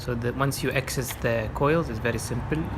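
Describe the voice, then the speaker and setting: A man speaks at a fairly quick pace with an Arabic accent. Noticeable background noise runs behind him. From Oman. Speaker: car owner doing own repairs. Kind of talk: DIY car repair tutorial. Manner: hesitant, many fillers.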